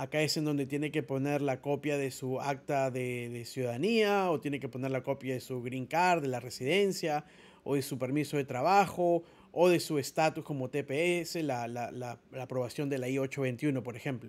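In a very clean recording with a silent background, a man speaks at a moderate pace. His pitch is fairly high, with ordinary pitch variation. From Peru (Lima). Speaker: immigration lawyer. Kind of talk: tutorial. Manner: halting.

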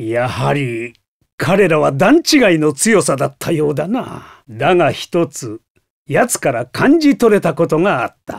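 A man performs a cartoonish character voice with vocal fry and fairly high pitch. His pitch swings widely at a fairly slow pace.

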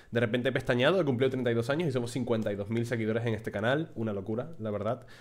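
A man with a medium pitch talks fairly quickly. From Spain. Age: 30s. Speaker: gaming YouTuber and streamer; gaming YouTuber, streamer. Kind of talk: casual talk to camera. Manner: animated. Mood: warm, grateful, relaxed. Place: home room. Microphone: studio mic.

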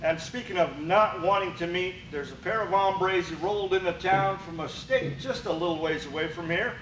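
A man talks at a moderate pace, high-pitched with ordinary pitch variation. Audible room echo and light background noise surround him. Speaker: wrestling show announcer. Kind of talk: wrestling show intro and sign-off. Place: studio.

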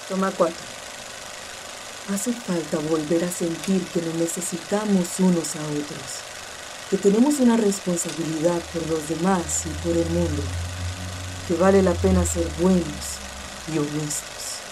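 Over noticeable background noise, a woman with a fairly low voice and ordinary pitch variation speaks at a fairly slow pace, with long, frequent pauses. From Costa Rica. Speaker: voice actor. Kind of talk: narration of encyclical passages. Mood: calm, earnest, reflective. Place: booth. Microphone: studio mic.

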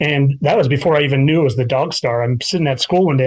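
Somewhat breathy and with an American accent, the speaker moves at a fairly quick pace. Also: man. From US Midwest, Chicago northern suburbs. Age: 40s. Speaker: teacher. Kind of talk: casual interview chat. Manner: halting, many filler words.

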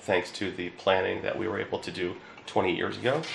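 A voice in a Philadelphia accent, with light background noise and audible room echo. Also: man. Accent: Philadelphia-area American. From Newtown, Pennsylvania (Bucks County); Pennsylvania. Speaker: insurance agent. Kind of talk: promotional talk. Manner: hesitant, with filler words. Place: office.

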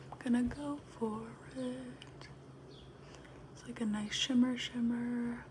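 Over light background noise, a woman speaks at a very slow pace, leaving long, frequent pauses. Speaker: ASMR content creator. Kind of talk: ASMR get-ready-with-me, casual talk to camera. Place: home room. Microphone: phone near.

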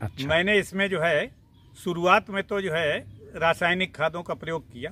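A man speaks at a fairly slow pace in a high voice. His pitch varies in an ordinary way, and the sound is dry with no echo. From Sitapur district, Uttar Pradesh, India; Uttar Pradesh. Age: 70s. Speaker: retired police officer and fruit farmer. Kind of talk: interview answers; interview answer. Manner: halting.

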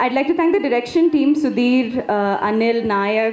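The speaker has a non-native accent. Light background noise and audible room echo can be heard. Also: woman. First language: not Telugu. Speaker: film actress. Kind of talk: speech at a press event. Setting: stage at a film pre-release event. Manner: halting, many fillers. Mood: warm, grateful. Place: stage. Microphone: handheld.

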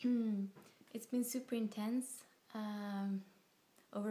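A woman with fairly even intonation. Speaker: vlogger. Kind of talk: casual talk to camera. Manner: slow, hesitant. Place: home room. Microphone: phone near.

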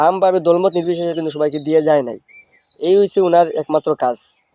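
The dry, close sound with no echo carries a man's voice pitched high. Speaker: political vlogger. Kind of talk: casual political monologue. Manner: animated.

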